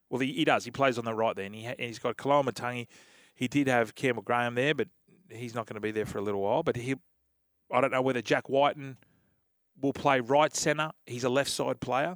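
With an Australian accent, a man speaks at a fairly quick pace and a fairly even intonation, the sound dry and close with no echo in a very clean recording with a silent background. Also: medium pitch for a man. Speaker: radio co-host, former rugby league player. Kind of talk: casual sports radio chat. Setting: radio studio.

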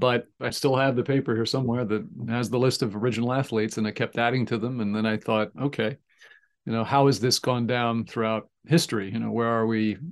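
Over a quiet background, a man speaks in a plain, everyday voice at a fairly quick pace with fairly even intonation. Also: medium pitch for a man. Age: 60s. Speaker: communication professor and former sports reporter. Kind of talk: interview.

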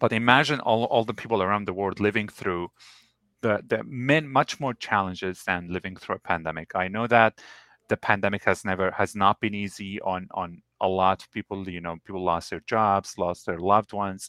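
A man with a bright, sharp tone and fairly low pitch talks at a moderate pace with ordinary pitch variation, in a dry, close sound with no echo. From Lebanon. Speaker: entrepreneur, chocolate company founder. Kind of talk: interview. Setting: video call live stream.

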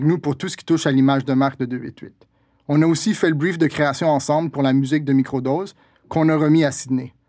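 Here a man with a normal speaking voice talks at a fairly quick pace, fairly high in pitch. His intonation is fairly even, on a very clean recording with a silent background. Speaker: podcast host and brand strategist. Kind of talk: casual chat. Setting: studio.

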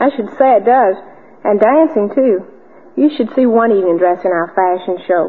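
Speaking at a moderate pace, a woman uses a normal speaking voice with medium pitch and lively intonation. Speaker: cotton industry ambassador, debutante. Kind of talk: old-time radio drama, interview segment. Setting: radio studio. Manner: polite, bright, chatty, formal.

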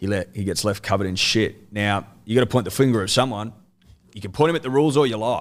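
This man talks very fast with an Australian accent, his pitch fairly low and its variation ordinary. The recording is very clean, with a silent background. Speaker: sports podcaster. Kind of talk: casual chat.

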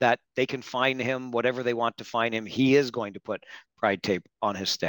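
A man with an ordinary speaking voice at medium pitch talks at a moderate pace in a very clean recording, with a silent background and a dry, close sound with no echo. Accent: Canadian. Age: 50s. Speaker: hockey podcast host. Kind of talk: interview.

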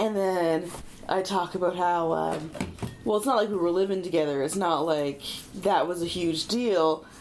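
A woman talks at a moderate pace in a fairly low pitch, with ordinary pitch variation and very even loudness. Audible room echo and noticeable background noise surround her. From Prince Edward Island, Canada. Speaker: stand-up comedian. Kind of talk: casual chat.

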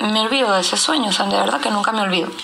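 Clear background noise surrounds a woman whose voice picks up audible echo from the room. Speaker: listener. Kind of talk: voice message.

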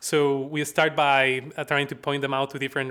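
This man has a fairly high pitch and a bright, sharp tone, with a Bolivian accent. The recording is very clean, with a silent background. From La Paz, Bolivia. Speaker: research analyst and impact director at a credit union research institute. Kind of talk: casual interview conversation.

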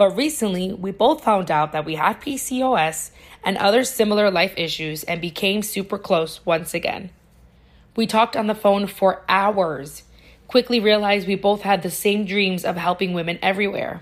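This woman has an American accent and a medium pitch. Her pace is moderate, and her pitch varies in an ordinary way. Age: 30s. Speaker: podcast host. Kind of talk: scripted narration.

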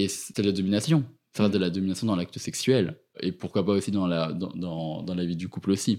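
On a very clean recording with a silent background, a man with a very deep, low pitch and a dark, mellow tone speaks at a fairly quick pace with ordinary pitch variation. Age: 20s. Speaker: university student. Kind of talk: interview. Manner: halting.

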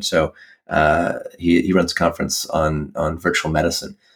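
A man speaks with an American accent. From US, Washington D.C. area. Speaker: physician and health tech entrepreneur. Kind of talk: interview.

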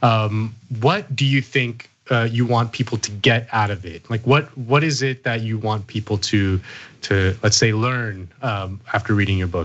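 Using a plain, everyday voice, a man speaks at a medium pitch. His pace is fairly slow, and his pitch variation ordinary. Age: 30s. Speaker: podcast host. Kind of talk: interview.

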